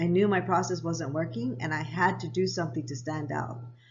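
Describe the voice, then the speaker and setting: A woman with a very deep, low pitch speaks at a fairly quick pace, with audible room echo. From Japan, US military family, then Hawaii. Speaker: lifestyle vlogger. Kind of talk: personal storytelling vlog.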